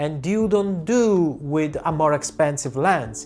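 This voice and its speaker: Over music in the background, a man with an Italian accent speaks fairly slowly in a fairly high voice with lively intonation. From Italy. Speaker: portrait photographer. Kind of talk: tutorial.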